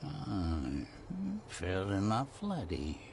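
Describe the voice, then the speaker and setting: A man puts on a gruff character voice with a very deep, low pitch and very wide pitch swings. Clear background noise is present. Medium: video game. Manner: gruff, blunt, grudging.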